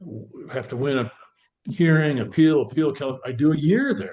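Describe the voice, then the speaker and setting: A man with an American accent speaks at a fairly slow pace in a somewhat breathy voice, his pitch fairly high and his tone dark and mellow. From Northern California. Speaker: former pro football player. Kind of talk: interview storytelling. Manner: animated.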